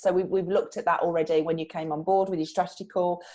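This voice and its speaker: Talking at a very fast pace, a woman speaks with a Brummie accent. Her voice sits at a medium pitch. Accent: Brummie (Birmingham). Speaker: PR trainer. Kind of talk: live online training session. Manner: conversational, with false starts.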